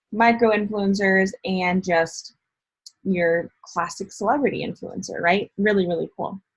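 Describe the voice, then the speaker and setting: A somewhat breathy woman's voice, fairly even in intonation and fairly slow in pace. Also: medium pitch for a woman. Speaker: motivational speaker and digital marketer. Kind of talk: online training / tutorial. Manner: casual, filler-heavy (um, like).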